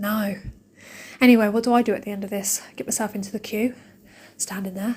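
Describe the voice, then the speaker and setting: Speaking with an English accent at a fairly quick pace, a woman has a fairly high pitch and a dark, mellow, somewhat breathy tone. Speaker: shopping vlogger. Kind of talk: casual vlog chat. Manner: fast; animated.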